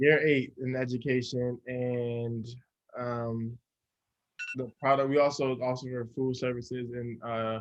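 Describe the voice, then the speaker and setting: With an American accent, a man speaks at a very slow pace. His intonation is monotone and flat. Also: medium pitch for a man. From New Jersey, US. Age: 30s. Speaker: chef and educator. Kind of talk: interview.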